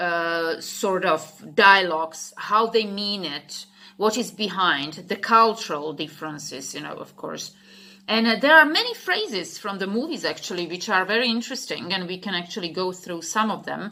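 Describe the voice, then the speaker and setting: Her tone is bright and sharp, and this woman's medium-pitched voice has lively intonation. She talks at a moderate pace with big swings in loudness. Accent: Slovak. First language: Slovak. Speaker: English teacher. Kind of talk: casual talk. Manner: halting, many fillers.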